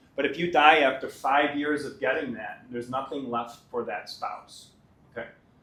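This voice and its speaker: A man's fairly even intonation, with audible room echo. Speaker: pension fund administrator. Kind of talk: presentation to union members.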